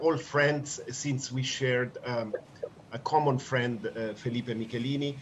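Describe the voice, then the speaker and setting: Amid noticeable background noise, a man talks at a very slow pace with fairly even intonation. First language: English (speaking Spanish). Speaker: law professor and NGO leader. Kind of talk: memorial tribute speech.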